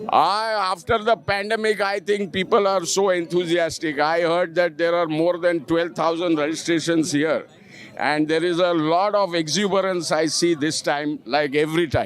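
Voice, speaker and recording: Speech moves at a moderate pace with hardly any pauses and very even loudness. The intonation is fairly even, and there is noticeable background noise. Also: man, high pitch for a man. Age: 60s. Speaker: motorcycle rider and author. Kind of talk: live event interview.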